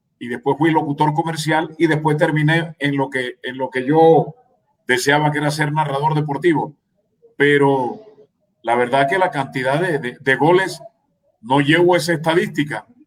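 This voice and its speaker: A man speaks at a moderate pace with a normal speaking voice. His pitch sits fairly high, and his intonation stays fairly even. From Colombian Caribbean coast, Magdalena. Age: 60s. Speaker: sports radio commentator. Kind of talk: radio interview.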